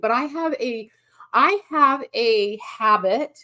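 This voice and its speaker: With a raised, projected voice, a woman speaks high and bright with a sharp tone, her pitch swinging very widely. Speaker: painting teacher. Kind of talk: live-stream art lesson. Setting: home live stream.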